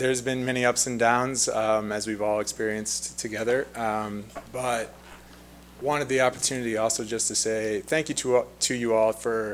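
With light background noise behind him, a man speaks at a fairly slow pace. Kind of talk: public comment address. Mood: friendly, grateful. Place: hall. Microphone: podium.

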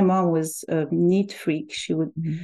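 At a fairly slow pace, a woman speaks in a dark, mellow tone. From Algeria. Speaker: language teacher. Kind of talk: interview conversation.

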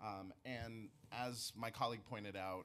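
A man with a normal speaking voice talks at a fairly low pitch with ordinary pitch variation. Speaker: nonprofit executive director; public witness. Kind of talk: testimony. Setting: council hearing room. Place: meeting room. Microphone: podium.

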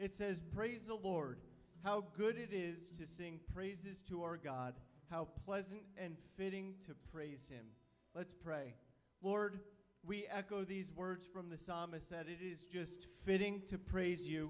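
At a fairly slow pace, a man speaks in a high pitch with ordinary pitch variation. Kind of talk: welcome and prayer. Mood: warm, reverent. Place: church. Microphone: handheld.

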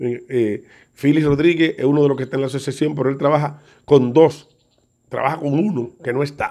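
Against a quiet background, a man with a Dominican accent speaks at a fairly quick pace in a fairly high voice that has a dark, mellow tone and fairly even intonation. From Dominican Republic, Santo Domingo. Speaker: comedian. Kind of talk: video statement. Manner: halting. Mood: indignant, accusing. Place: home room. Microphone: phone near.

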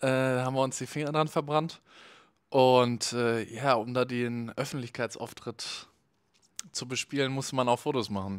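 A man speaks with fairly even intonation at a moderate pace, the background quiet. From Cologne, Germany. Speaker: festival photographer; podcast guest. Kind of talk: casual chat. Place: studio. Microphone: handheld.

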